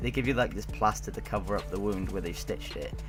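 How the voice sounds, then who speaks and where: A man speaks with a British accent. Music plays in the background. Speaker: gaming YouTuber. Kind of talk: casual storytelling to camera.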